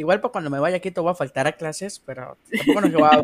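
Recorded dry and close with no echo, a man talks very fast in a high voice with ordinary pitch variation. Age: 20s. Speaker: podcast co-host. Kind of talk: casual chat.

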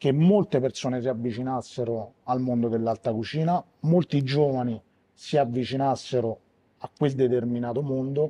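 A man with fairly even intonation talks at a medium pitch and a moderate pace. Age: 40s. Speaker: bar owner and bartender. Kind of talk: interview. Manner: hesitant, with fillers.

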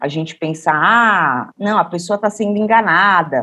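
Her tone is bright and sharp. This woman's pitch rises and falls a normal amount. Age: 40s. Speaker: cultural producer and policy researcher. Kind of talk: interview.

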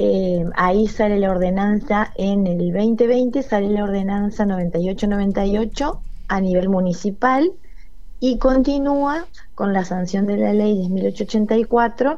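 At a very slow pace, a woman with a dark, mellow tone speaks amid audible room echo. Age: 40s. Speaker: cultural organization coordinator. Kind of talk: radio interview. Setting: phone call.

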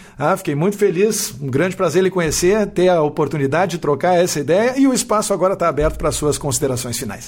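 A man's high voice at a very fast pace, with lively intonation and hardly any pauses. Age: 40s. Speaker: university professor and podcast host. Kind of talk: casual interview conversation. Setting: live stream video.

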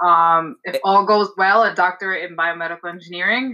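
In a New York accent, a woman speaks at a moderate pace with a bright, sharp tone. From New York, Staten Island. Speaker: fertility lab scientist. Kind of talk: casual interview. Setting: video call from home.

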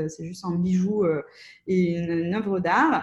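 Breathiness shows somewhat in this voice. The intonation is fairly even throughout. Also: woman. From Russia (Soviet Union). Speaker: entrepreneur. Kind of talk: interview. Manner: hesitant, many fillers.

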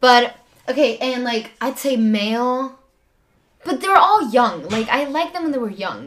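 A woman's high voice rises and falls with lively intonation at a fairly slow pace. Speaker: podcast guest. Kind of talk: casual chat. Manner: loud.

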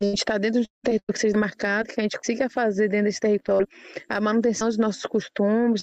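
A woman's fairly high-pitched, monotone voice with flat intonation, in a dry, close sound with no echo. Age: young. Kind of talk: podcast interview.

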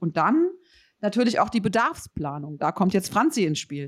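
A woman talks in an animated tone. The sound is dry and close, with no echo. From Rheinhessen, Germany. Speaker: podcast host, building consultant. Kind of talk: casual interview. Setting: remote recording, separate locations.

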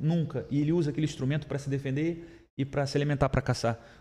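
At a very fast pace, a man speaks in a somewhat breathy voice. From Rio de Janeiro. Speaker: entrepreneur, startup founder. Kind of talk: casual chat.

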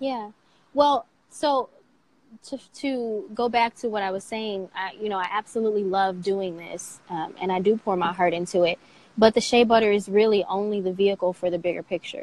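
A woman's unremarkable speaking voice, in an American accent, medium in pitch, moderately paced, with ordinary pitch variation. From Michigan, US. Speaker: skincare entrepreneur. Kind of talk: interview conversation. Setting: social media live video.

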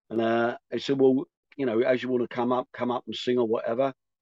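An ordinary speaking voice at a fairly quick pace, with a dry, close sound and no echo. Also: man. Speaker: rock singer. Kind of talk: casual interview chat.

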